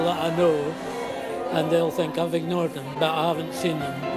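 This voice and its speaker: A man speaks over loud music in the background. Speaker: retired social worker. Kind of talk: interview answer. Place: home room. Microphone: phone near.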